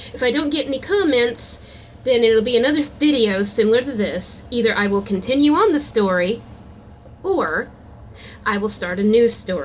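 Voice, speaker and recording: Lively intonation from a woman with a fairly high pitch at a moderate pace. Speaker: amateur storyteller and aspiring author. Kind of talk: improvised storytelling; casual channel intro. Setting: recording at work. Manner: casual, halting with fillers.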